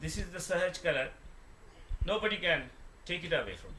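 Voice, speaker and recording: A man speaks with an Indian accent at a moderate pace. His pitch varies in an ordinary way, and there is noticeable background noise. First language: Hindi. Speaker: devotional speaker explaining a song. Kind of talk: explaining and translating song lyrics. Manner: halting.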